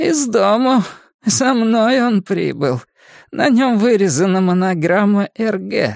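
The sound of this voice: In a put-on character voice with vocal fry, the speaker goes slowly with lively intonation, in a dry, close sound with no echo and a very clean recording with a silent background. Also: man, high pitch for a man.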